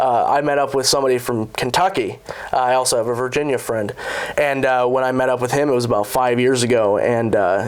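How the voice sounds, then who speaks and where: Intonation stays fairly even at a moderate pace. Noticeable background noise can be heard. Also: man. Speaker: fast-food worker and aspiring game developer. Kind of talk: interview. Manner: loud; hesitant fillers.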